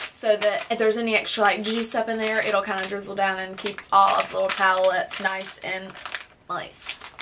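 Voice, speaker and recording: A woman talks over noticeable background noise. Her pitch varies in an ordinary way. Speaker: beauty vlogger. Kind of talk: product review vlog. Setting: home, filmed at a table. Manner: fast; loud.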